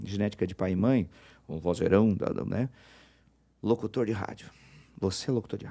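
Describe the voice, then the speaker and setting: Speaking at a moderate pace, a man uses a fairly low pitch, a dark, mellow tone and ordinary pitch variation. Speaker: radio announcer. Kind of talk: interview.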